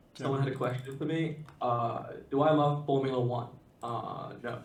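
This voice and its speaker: Delivered in a flat monotone at a moderate pace, the voice comes with audible room echo and noticeable background noise. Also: man. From UK. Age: 20s. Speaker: Magic card game player. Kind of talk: casual chat.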